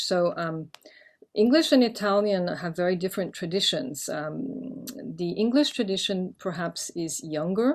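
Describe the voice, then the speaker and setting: Lively intonation and a moderate pace, in a French accent. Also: woman. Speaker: poet and professor. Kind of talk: interview.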